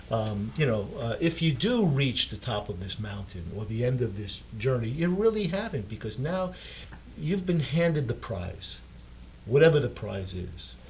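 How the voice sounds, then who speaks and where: A somewhat breathy man at a moderate pace, with lively intonation. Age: 70s. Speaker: dentist and author. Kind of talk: interview. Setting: studio. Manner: halting, many fillers and repeats.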